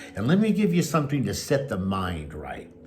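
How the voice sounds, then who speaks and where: The voice moves at a moderate pace through very wide pitch swings, with audible room echo around it. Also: man. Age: 70s. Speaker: pastor and life coach. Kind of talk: motivational talk; personal testimony. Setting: at home.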